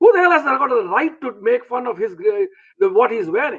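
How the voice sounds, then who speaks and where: A man's voice rises and falls in very wide pitch swings. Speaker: speaker giving advice talks. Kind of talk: talk to viewers, informal lecture. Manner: fast when emotional, with restarts.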